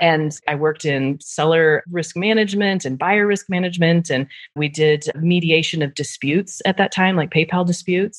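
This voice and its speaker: A woman speaks in an unremarkable speaking voice at a fairly low pitch and moderate pace, with hardly any pauses and fairly even intonation. The sound is dry and close, with no echo. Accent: American. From US Midwest, Nebraska. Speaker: fraud and risk professional. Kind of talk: casual interview chat.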